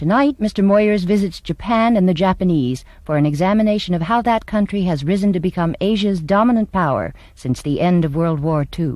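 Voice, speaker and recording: A woman with a plain, everyday voice speaks at a fairly quick pace, her pitch medium, her intonation lively and her loudness very even. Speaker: voice-over performer and speech teacher; stage actress. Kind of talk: TV station programming announcement.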